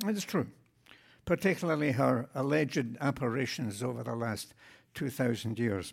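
Over a silent background in a very clean recording, a man with a medium-pitched voice talks at a moderate pace with vocal fry. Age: 80s+. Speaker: deacon. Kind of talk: sermon. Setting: church.

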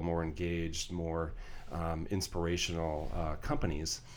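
A man with an American accent speaks in a very deep, low voice at a moderate pace. His intonation is monotone and flat, and audible room echo surrounds it. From Colorado, US. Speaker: real estate company president. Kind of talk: interview. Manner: halting, many fillers and repeats.

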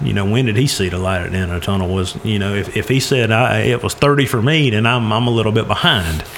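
Noticeable background noise runs under the recording. A man talks at a very fast pace. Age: 40s. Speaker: personal finance speaker. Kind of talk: casual chat.

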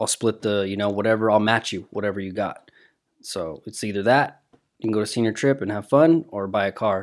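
The recording is very clean, with a silent background. An ordinary speaking voice moves at a moderate pace. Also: man. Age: 30s. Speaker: friend of the host. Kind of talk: casual chat.

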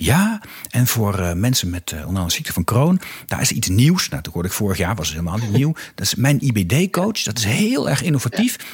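Very wide pitch swings mark this voice, which moves at a fairly quick pace. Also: man. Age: 40s. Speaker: podcast host, strategy consultant and former politician. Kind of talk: interview conversation. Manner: hesitant, repeats words.

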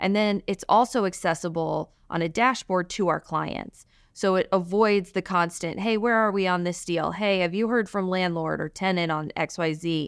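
An ordinary speaking voice with an American accent moves at a moderate pace with fairly even intonation. The recording is very clean, with a silent background. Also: woman, medium pitch for a woman. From Alabama, US South. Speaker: real estate attorney. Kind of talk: interview.

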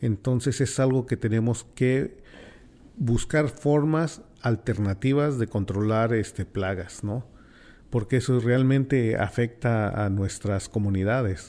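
A man with a Mexican accent speaks at a very slow pace, with a medium pitch and a dark, mellow tone. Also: ordinary pitch variation. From Mexico City. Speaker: community radio host. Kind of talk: radio roundtable discussion. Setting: radio studio.

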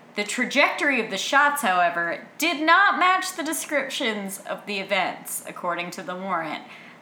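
A fairly high-pitched female voice with very wide pitch swings, a moderate pace and hardly any pauses, amid noticeable background noise. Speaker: podcast host. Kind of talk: casual chat.

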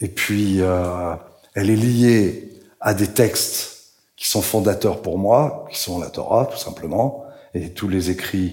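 Speaking at a very slow pace, a man with a fairly low pitch and ordinary pitch variation sounds somewhat breathy, with audible room echo around him. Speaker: writer and translator. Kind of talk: public talk at a literary event. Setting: stage with audience.

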